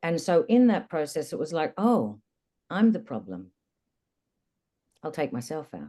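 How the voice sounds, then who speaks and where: A woman with a fairly low pitch, vocal fry and a dark, mellow tone speaks at a fairly slow pace with long, frequent pauses, very wide pitch swings and big swings in loudness. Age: 50s. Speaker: energy method practitioner, co-originator. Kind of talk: personal testimony in a recorded conversation.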